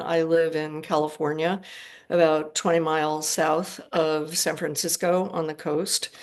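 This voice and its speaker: Speech comes in an American accent at a fairly slow pace. The intonation stays monotone and flat. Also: woman. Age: 70s. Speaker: retired public health worker. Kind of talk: interview conversation.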